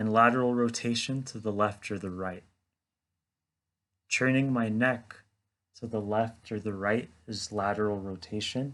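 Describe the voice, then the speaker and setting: Against a quiet background, a man speaks at a fairly slow pace with fairly even intonation and long, frequent pauses. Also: fairly low pitch for a man. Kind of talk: educational explanation to camera.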